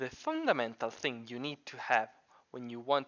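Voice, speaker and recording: Someone speaks at a moderate pace with a non-native accent. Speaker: computer science student; Minecraft builder. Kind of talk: scripted tutorial narration.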